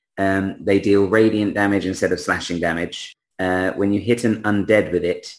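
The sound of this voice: The setting is quiet. The voice reads in an unforced way.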